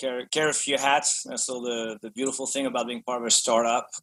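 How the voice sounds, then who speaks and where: In a French accent, a man speaks at a fairly quick pace. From France. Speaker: business executive. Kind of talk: podcast interview. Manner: hesitant, many fillers and repetitions.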